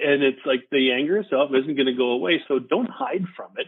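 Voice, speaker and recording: With an American accent, a man talks at a fairly quick pace in an ordinary speaking voice, his fairly high pitch moving with lively intonation. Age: 60s. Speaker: retired army officer. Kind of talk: casual interview.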